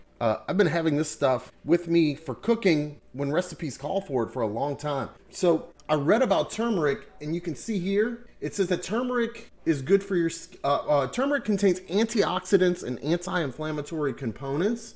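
At a moderate pace, a man with a high pitch speaks with lively intonation. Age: 40s. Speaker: product reviewer. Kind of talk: casual talk to camera. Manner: jokey, casual. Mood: relaxed, amused. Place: home room. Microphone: webcam.

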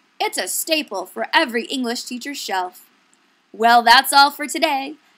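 The tone is upbeat and playful, at a moderate pace. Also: woman. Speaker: education video presenter. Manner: upbeat, gushing, salesy, with playful exaggerated enthusiasm and rhetorical questions.

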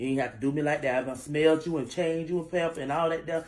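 This woman speaks fast in a low pitch with a slightly mellow tone. Her intonation stays fairly even.

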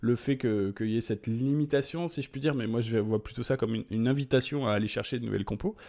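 A man's dark, mellow voice at a fairly quick pace, ordinary pitch variation, over a quiet background. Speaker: gaming YouTuber. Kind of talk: game patch notes commentary. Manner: hesitant, many filler 'euh'. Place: home room.

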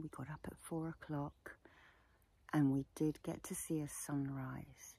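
Speaking fairly slowly, a woman is heard in a dry sound with no echo. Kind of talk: casual vlog chat leading into guided meditation. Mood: warm, chatty, amused. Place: open country. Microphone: lapel.

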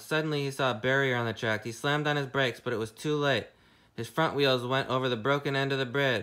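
Fairly even intonation carries through plain reading aloud.

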